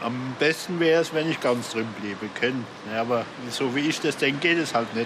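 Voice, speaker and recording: Noticeable background noise sits behind a man's voice. He speaks at a fairly quick pace at a medium pitch, with ordinary pitch variation. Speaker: bus and taxi driver. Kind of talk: interview.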